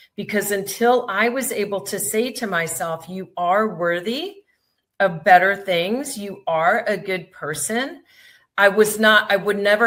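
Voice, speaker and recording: A woman with an unremarkable speaking voice, medium pitch, ordinary pitch variation, big swings in loudness and a fairly slow pace, on a very clean recording with a silent background. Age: 50s. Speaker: podcast host. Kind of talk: casual chat.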